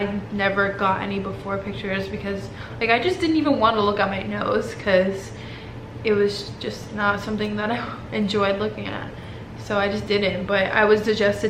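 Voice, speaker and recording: A woman keeps a moderate pace as noticeable background noise continues. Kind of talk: casual talk to camera.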